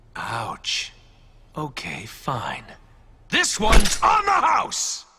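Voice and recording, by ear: In a put-on character voice, a man speaks very slowly, his fairly high pitch swinging very widely, his tone bright and sharp with vocal fry.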